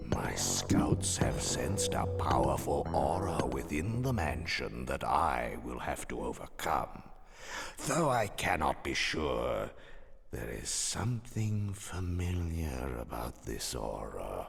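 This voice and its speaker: A man puts on a character voice, pitched very deep and low and paced fairly slowly. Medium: video game. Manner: measured, cold, formal.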